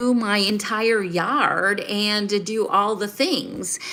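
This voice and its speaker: With a Southern US accent, a woman speaks at a fairly high pitch and very slow pace over noticeable background noise. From US South. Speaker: life and finance coach. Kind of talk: live stream talk to viewers. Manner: conversational, with fillers.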